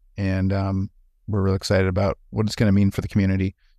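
A man with a Wisconsin accent at a very fast pace and fairly low pitch, in a very clean recording with a silent background. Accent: Wisconsin Upper Midwest, noticeable vowels. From Wisconsin, US. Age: 40s. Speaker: former pastor, healthcare administrator. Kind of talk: casual conversational interview.

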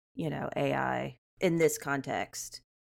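A woman talks with an American accent. Her pace is very slow. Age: 30s. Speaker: frontend developer. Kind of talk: casual chat.

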